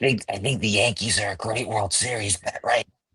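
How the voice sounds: A raspy, put-on character voice moves along at a fairly quick pace. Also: man, medium pitch for a man.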